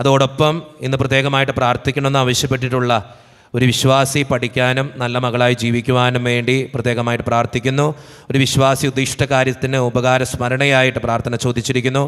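A man talks at a medium pitch in a flat monotone, his loudness very even, over a quiet background. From Kerala, India. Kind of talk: prayer service, reading out prayer requests. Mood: calm devotional. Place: church. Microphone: podium.

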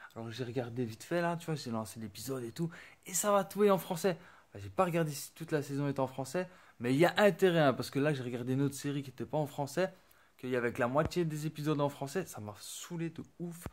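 Talking at a very fast pace, a man with a fairly high pitch swings widely in loudness. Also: ordinary pitch variation. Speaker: YouTuber; entertainment youtuber. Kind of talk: casual vlog; casual vlog chat. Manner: halting. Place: home room. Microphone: phone near.

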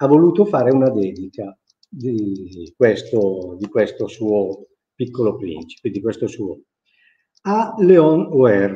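Very slow, somewhat breathy speech from a man at medium pitch, with very wide pitch swings and long, frequent pauses. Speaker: Milanese dialect teacher; dialect teacher. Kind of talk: live lecture to an audience. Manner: hesitant, conversational. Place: office. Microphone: webcam.

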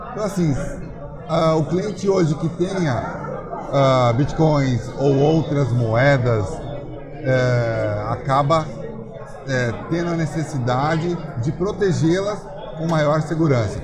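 With crowd noise behind him, a man speaks at a very slow pace with ordinary pitch variation. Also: fairly high pitch for a man. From Brazil. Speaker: hardware wallet reseller and shipping business owner; hardware wallet reseller. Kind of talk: interview. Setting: crypto conference. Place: hall. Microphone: lapel.

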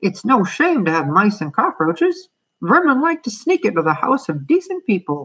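Using a put-on character voice with a fairly bright tone and a slightly husky edge, the speaker moves at a moderate pace with big pitch swings.

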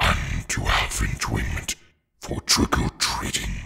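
A man puts on a raspy character voice. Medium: role play.

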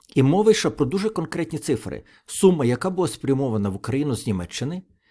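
A man speaks with a dark, mellow tone and very wide pitch swings. The recording is very clean, with a silent background. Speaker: political video blogger. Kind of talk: solo political commentary.

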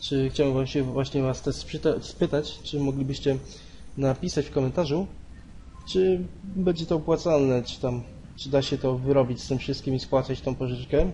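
With a Polish accent, a man speaks at a moderate pace in a fairly high, somewhat breathy voice with a dark, mellow tone and fairly even intonation. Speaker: gaming youtuber. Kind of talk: casual gameplay commentary. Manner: halting, hesitant.

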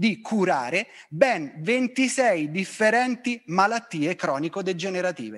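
In a high-pitched voice with lively intonation, a man talks at a fairly slow pace against a quiet background. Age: 50s. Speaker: fitness professional; presenter. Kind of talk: lecture. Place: studio. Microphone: handheld.

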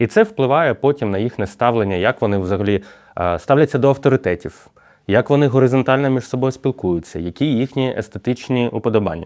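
With a plain, everyday voice, a man speaks at a medium pitch and a fairly quick pace, with ordinary pitch variation. The sound is dry and close, with no echo. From Ukraine. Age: 30s. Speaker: university rector and sociologist. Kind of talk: podcast conversation.

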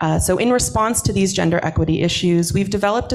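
A woman's pitch varies in an ordinary way, with silence behind her. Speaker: workshop organizer and researcher; presenter. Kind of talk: workshop presentation. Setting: hybrid event with live audience and Zoom. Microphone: video call.

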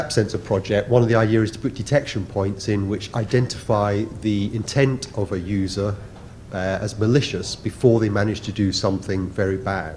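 Over light background noise, a man talks at a moderate pace in a fairly low pitch. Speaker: conference presenter. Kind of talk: conference talk. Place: hall.

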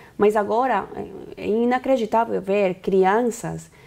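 In a Spanish accent, a woman speaks at a very slow pace. Her tone is dark and mellow, with ordinary pitch variation. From Bolivia. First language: Spanish (speaking Portuguese). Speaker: activist leader; interview guest. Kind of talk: interview; interview answer. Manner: halting. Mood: serious, concerned. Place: studio. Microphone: lapel.

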